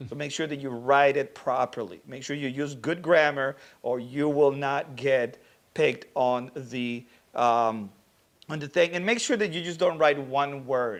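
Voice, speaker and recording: Against a quiet background, a man speaks at a fairly slow pace with a non-native accent, his pitch fairly high and its variation ordinary. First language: not English. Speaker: social media manager and livestream host. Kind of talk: livestream Q&A hosting. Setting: livestream. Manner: casual, conversational.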